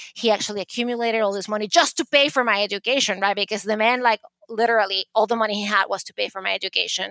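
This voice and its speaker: A woman with a Venezuelan accent speaks at a very fast pace in a bright, sharp, fairly high voice. Her intonation stays fairly even, and the sound is dry and close with no echo. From Venezuela, Caracas. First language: Spanish. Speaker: art advisor and author. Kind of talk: interview storytelling.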